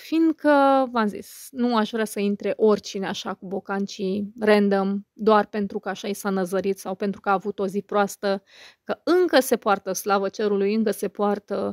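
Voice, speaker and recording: Recorded very cleanly with a silent background and a dry, close sound with no echo, a woman with a normal speaking voice and medium pitch talks at a moderate pace with fairly even intonation. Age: 30s. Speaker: YouTuber and podcaster. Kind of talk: casual monologue to viewers.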